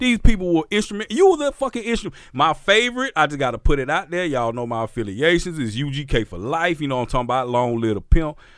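A man's fairly high, animated voice at a very fast pace, with very wide pitch swings, hardly any pauses and a very clean recording on a silent background. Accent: Southern US. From Mississippi, US South. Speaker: podcast host and DJ. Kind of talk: casual chat.

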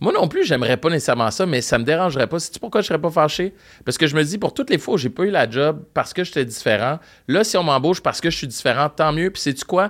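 The recording is very clean, with a silent background. Speech comes at a very fast pace with lively intonation. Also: man, fairly high pitch for a man. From Montreal, Quebec (Park Extension). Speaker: radio host and podcaster. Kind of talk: casual chat. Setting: studio.

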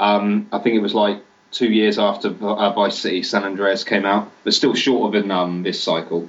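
A man talks with a British accent in a monotone, his intonation flat throughout. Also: fairly low pitch for a man, moderate pace. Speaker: games journalist. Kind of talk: casual chat.

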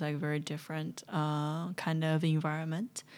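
The speaker has a Chinese accent and a monotone, flat intonation. The recording is very clean, with a silent background. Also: woman. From southwest China. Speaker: stand-up comedian. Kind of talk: casual chat.

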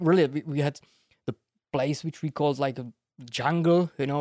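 This man has a dark, mellow tone and fairly even intonation. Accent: Czech. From Czech Republic, village. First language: Czech. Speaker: bonsai artist. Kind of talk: casual chat.

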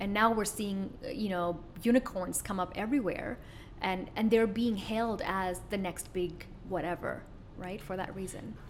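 A woman's fairly even intonation and moderate pace come through amid audible room echo and noticeable background noise. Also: medium pitch for a woman. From Middle East (born in Kuwait). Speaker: business coach and entrepreneur. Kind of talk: interview.

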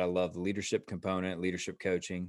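The speaker has an American accent and talks at a very fast pace. The background is quiet. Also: man. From US South, Atlanta. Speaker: leadership author. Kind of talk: interview.

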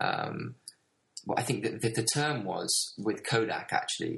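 A man with a British accent. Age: 20s. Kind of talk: podcast interview.

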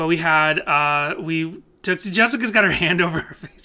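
Spoken at a moderate pace, the voice carries a slight Boston accent. The recording is very clean, with a silent background. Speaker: podcast co-host. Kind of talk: casual chat.

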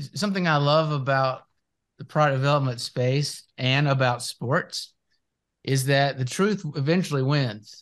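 With an ordinary speaking voice, a man talks at a fairly slow pace and a fairly high pitch with ordinary pitch variation. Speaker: podcast host. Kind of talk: casual interview.

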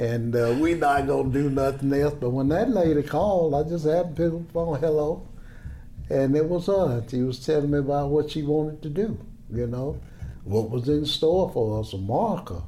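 A man with a Tennessee accent speaks at a moderate pace in a fairly high pitch, with ordinary pitch variation. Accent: Southern US (Tennessee). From US South, Chattanooga, Tennessee. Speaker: retired soul singer. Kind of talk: casual interview conversation.

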